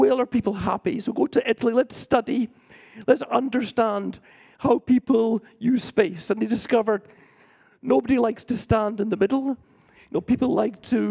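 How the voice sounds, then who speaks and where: A man with a Scottish accent speaks at a moderate pace in an extremely high pitch, with ordinary pitch variation. His tone is dark and mellow, and the sound is dry and close with no echo. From Scotland. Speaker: urban planner and professor. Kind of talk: lecture.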